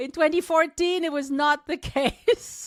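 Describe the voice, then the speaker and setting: In a very clean recording with a silent background and a dry, close sound free of echo, a woman speaks at a moderate pace. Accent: slight French. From southwest France, Toulouse. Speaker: travel podcaster and tour guide. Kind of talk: podcast interview. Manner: hesitant, many fillers.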